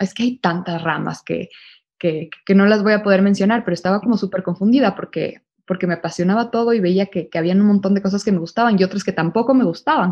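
Medium pitch and ordinary pitch variation from a woman speaker. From Ecuador. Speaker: fashion brand consultant. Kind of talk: interview. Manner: halting, many fillers and repetitions.

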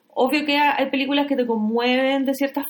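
A woman with a Chilean accent speaks at a high pitch. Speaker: podcast host. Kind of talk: casual chat about films.

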